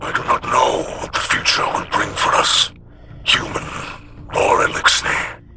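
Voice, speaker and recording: Over loud background noise, a man uses a put-on character voice at an extremely high pitch and a moderate pace. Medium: short film. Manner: formal, solemn, measured.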